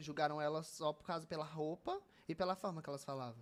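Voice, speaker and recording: With a Fortaleza accent, a man talks at a very fast pace and a fairly high pitch with ordinary pitch variation. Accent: Fortaleza (Ceará) accent, noticeable. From Northeast Brazil, Fortaleza (Ceará). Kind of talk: casual interview chat.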